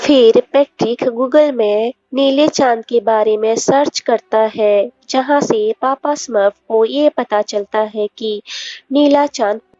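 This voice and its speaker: Against background music, a woman talks in a high voice. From Odisha, India. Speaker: movie recap narrator. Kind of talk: movie plot summary voiceover.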